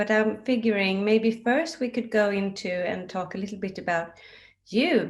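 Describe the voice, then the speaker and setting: Speaking with a Swedish accent, a woman has a fairly high pitch. Her pace is moderate and her pitch varies in an ordinary way. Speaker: interviewer for a book publisher. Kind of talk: interview.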